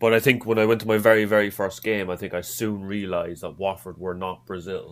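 A fairly low-pitched man with an Irish accent, fairly quick and monotone, flat in intonation, on a very clean recording with a silent background. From Ireland. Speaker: football fan. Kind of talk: casual chat. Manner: halting.

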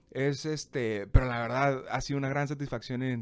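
A man's medium-pitched voice with ordinary pitch variation at a fairly slow pace, in a very clean recording with a silent background. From Mexico, Tijuana. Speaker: restaurant owner. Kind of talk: interview.

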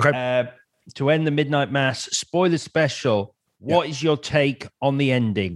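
Talking at a fairly slow pace, a man has a normal speaking voice with fairly high pitch. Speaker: podcast host. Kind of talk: casual chat.

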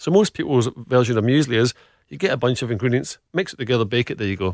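In a Scottish accent, a man talks at a very fast pace with a medium pitch and ordinary pitch variation, on a very clean recording with a silent background and a dry, close sound with no echo. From Scotland, Glasgow. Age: middle-aged. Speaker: food business founder. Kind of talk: interview.

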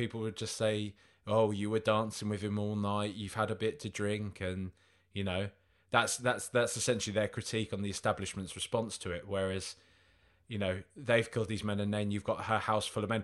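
A man with an English accent speaks in a fairly low, flat monotone, captured in a very clean recording against a silent background. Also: fairly quick pace. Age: 30s. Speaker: podcast co-host. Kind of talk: casual chat.

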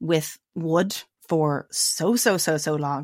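A woman speaks in a fairly low pitch, with ordinary pitch variation. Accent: Dublin. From Ireland, Dublin. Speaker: guest living off-grid. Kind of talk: casual interview chat.

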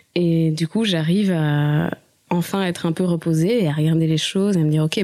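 There is noticeable background noise behind a woman whose voice sits very deep and low. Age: 30s. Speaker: musician. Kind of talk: interview.

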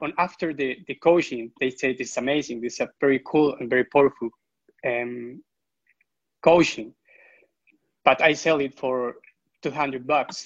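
A man's fairly high voice at a moderate pace, fairly even in intonation, with long, frequent pauses and a dry, close sound free of echo. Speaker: client in training program. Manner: halting.

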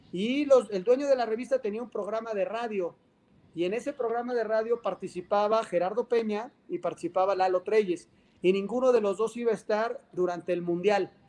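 His pitch is high for a man. It varies in an ordinary way. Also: moderate pace. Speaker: sports journalist. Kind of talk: interview.

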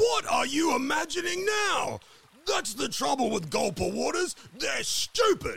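A man's cartoonish character voice, extremely high in pitch, at a moderate pace. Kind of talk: comic cartoon voice. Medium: audio drama. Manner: bossy, bickering.

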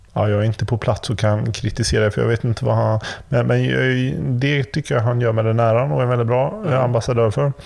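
A man at medium pitch with ordinary pitch variation, fairly quick pace, hardly any pauses and very even loudness, over noticeable background noise. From Sweden, Gothenburg. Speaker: podcast host. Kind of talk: casual chat. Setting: remote recording.

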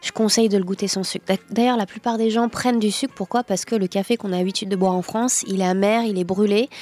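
Words come at a very fast pace with fairly even intonation, in a dry, close sound with no echo and noticeable background noise. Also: woman, medium pitch for a woman. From cold country. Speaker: coffee shop owner. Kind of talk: casual chat. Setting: coffee shop.

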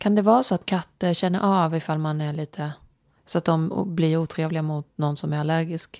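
Soft-spoken and with fairly even intonation, a woman talks at a fairly quick pace, the sound dry and close with no echo on a very clean recording with a silent background. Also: fairly low pitch for a woman. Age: 40s. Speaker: podcast co-host. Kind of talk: casual chat.

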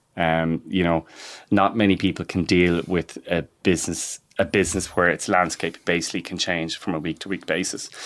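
A man with a Dublin accent speaks at a fairly quick pace in a very deep, low pitch. His intonation is flat and monotone, and the recording is very clean with a silent background. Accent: Irish (Dublin). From Ireland, north County Dublin. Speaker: entrepreneur and farmer. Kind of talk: interview. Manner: halting, many repetitions.

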